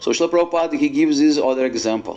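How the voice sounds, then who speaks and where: Against noticeable background noise, a man with a non-native accent speaks at a fairly high pitch with ordinary pitch variation. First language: not English. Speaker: monk giving a religious talk. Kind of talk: religious discourse to an assembly. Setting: assembly of devotees. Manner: halting with frequent fillers.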